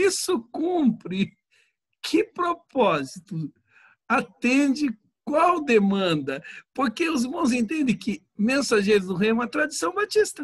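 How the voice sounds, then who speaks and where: Speech at a very slow pace swings very widely in pitch, captured with a dry, close sound and no echo. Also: man, extremely high pitch for a man. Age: 60s. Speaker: pastor. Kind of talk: casual chat.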